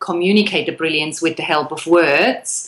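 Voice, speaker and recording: A woman speaks with a Swiss accent. Her pitch is fairly low. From Switzerland. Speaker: copywriter, business owner. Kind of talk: interview.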